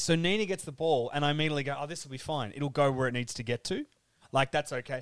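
A man speaks with an Australian accent. His pace is very fast. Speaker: podcaster and football fan. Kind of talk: casual chat. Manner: joking, self-deprecating.

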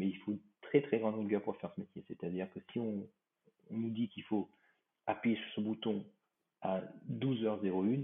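Speaking at a moderate pace, this man has a fairly low pitch. His intonation stays fairly even. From Réunion. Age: 50s. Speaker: airline pilot. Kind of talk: interview.

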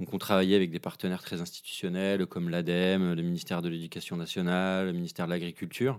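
A man's very deep, low voice, very fast and monotone with flat intonation. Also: very clean recording, silent background. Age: 30s. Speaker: film director and screenwriter. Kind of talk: interview. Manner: hesitant, many fillers.

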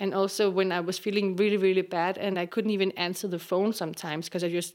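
Her medium-pitched voice carries a Danish accent and keeps a fairly even intonation. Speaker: actress. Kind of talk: personal testimony.

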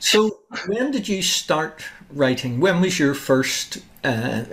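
With noticeable background noise behind him, a man speaks with lively intonation. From Northern Ireland, Larne. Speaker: podcast host, author. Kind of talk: interview.

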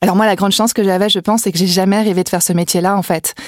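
Fairly even in intonation, a woman's voice comes through dry and close with no echo. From Brittany, France (Vannes). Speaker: entrepreneur. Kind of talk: interview.

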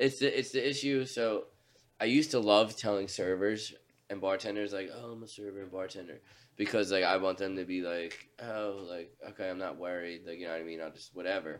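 A man with an ordinary speaking voice, fairly low in pitch, ordinary pitch variation, big swings in loudness, and a fairly quick pace. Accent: American. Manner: laid-back, slangy.

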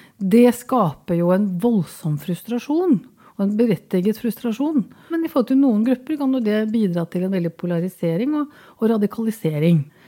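A woman speaks at a moderate pace with hardly any pauses and very wide pitch swings. Her fairly high voice has a dark, mellow tone. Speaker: equality ombudsman. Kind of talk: interview.

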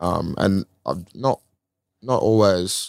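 A man's very deep, low voice carries fairly even intonation, recorded dry and close with no echo on a very clean recording with a silent background. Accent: Australian. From Australia, Melbourne. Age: 20s. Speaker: professional footballer. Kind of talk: casual chat.

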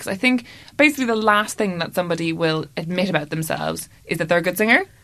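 A woman speaks in an Irish accent at a medium pitch. Her tone is bright and sharp, with lively intonation. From Ireland. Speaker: comedy podcast co-host. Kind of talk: casual chat.

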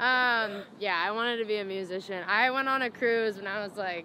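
A woman speaks at a moderate pace in a plain, everyday voice, her pitch fairly high. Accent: American. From Indiana, US Midwest. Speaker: musician, rapper. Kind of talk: casual interview chat.

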